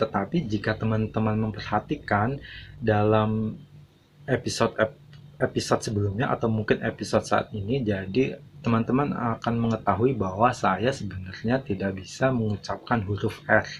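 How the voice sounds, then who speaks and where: Against a quiet background, a man with a fairly low pitch sounds somewhat breathy and uses ordinary pitch variation. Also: moderate pace. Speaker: YouTube channel owner, vlogger. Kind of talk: motivational monologue to viewers. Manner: halting, many filler sounds.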